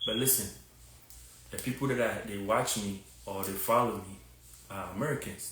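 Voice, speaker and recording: A man speaks at a moderate pace with a strong Ghanaian accent and fairly even intonation, and audible room echo can be heard. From Ghana, Takoradi. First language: a Ghanaian language. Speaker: fitness content creator. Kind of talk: live stream monologue. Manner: casual, repetitive with many fillers.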